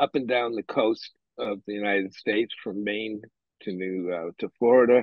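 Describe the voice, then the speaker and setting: With a New England accent, a man speaks at a moderate pace using ordinary pitch variation. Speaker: bookseller. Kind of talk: interview. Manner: halting.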